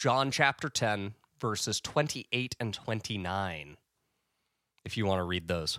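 A man's fairly low voice has a bright, sharp tone and lively intonation, broken by long, frequent pauses. The sound is dry and close with no echo, on a very clean recording with a silent background. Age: 20s. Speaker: podcast co-host. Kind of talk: casual conversational discussion. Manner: casual, conversational.

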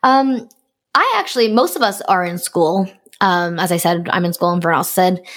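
Here is a woman with an unremarkable speaking voice at a moderate pace. Her pitch is medium, and its variation is ordinary. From Canada. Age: 20s. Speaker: podcast host and fan game staff member.

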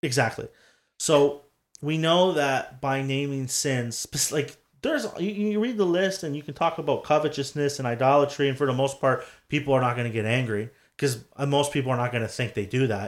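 Over a silent background in a very clean recording, a man talks at a moderate pace in a fairly high voice, with an animated tone and ordinary pitch variation. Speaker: podcast host. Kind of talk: casual chat. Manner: jokey, animated.

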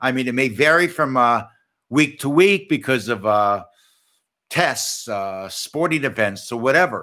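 With an American accent, a man speaks at medium pitch with a bright, sharp tone and lively intonation on a very clean recording with a silent background. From US Midwest. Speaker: podcast host and parenting author. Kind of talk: casual chat. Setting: studio, streamed on video. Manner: not fast-talking.

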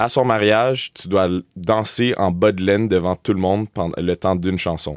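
Low-pitched to a fair degree, a man talks in a Quebec accent. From Montreal, West Island (raised), born Sudbury Ontario. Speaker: student newspaper editor. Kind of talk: interview. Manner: halting, repeats words.

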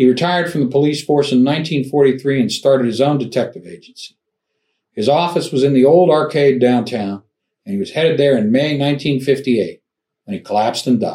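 At a moderate pace, a man with a fairly high voice and a dark, mellow tone speaks with ordinary pitch variation. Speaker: true crime podcast host. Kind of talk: true-crime narration. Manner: measured, grave storytelling tone.

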